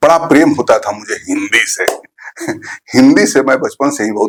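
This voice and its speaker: A man with a Bihari accent, in a dry, close sound with no echo. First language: Bhojpuri (speaking Hindi). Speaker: teacher, poet and author. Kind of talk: interview conversation.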